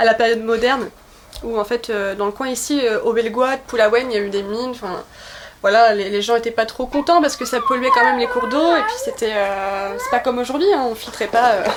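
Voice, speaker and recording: Noticeable background noise under a fairly quick pace. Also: woman, fairly high pitch for a woman, ordinary pitch variation. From Brittany, pays de Dol. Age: 20s. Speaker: author and political activist. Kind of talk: interview. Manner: hesitant, many fillers.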